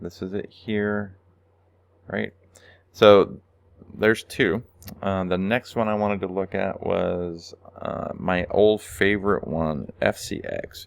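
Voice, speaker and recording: Long, frequent pauses interrupt speech delivered at a very slow pace. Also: man. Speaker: stock trading video host. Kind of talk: screen-share tutorial. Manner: casual, filler-heavy.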